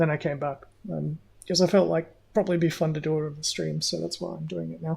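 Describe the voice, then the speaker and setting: The speaker has an Australian accent. The delivery comes at a very fast pace. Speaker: gaming streamer. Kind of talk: casual live gameplay commentary. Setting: livestream.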